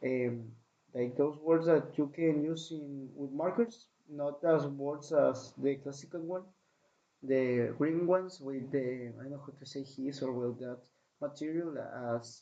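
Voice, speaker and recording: Speaking slowly-ish in a Spanish accent, a man with a fairly high pitch keeps his intonation fairly even while his loudness swings widely. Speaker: podcaster. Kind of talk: recounting a dream. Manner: halting.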